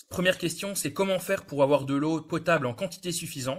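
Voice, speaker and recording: A somewhat breathy man's voice, fairly quick, with ordinary pitch variation. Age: 20s. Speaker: water and environment engineer. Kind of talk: webinar presentation.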